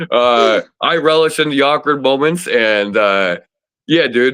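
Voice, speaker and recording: A speaker with an American accent talks in a bright, sharp tone with lively intonation over a quiet background. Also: man. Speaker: disc golf player. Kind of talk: casual chat. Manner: loud; animated.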